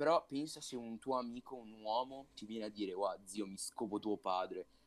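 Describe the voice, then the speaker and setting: An ordinary speaking voice, fairly quick in pace, with ordinary pitch variation. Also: man. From Italy, Sarzana (Lunigiana, Liguria). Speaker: podcast co-host. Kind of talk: casual chat.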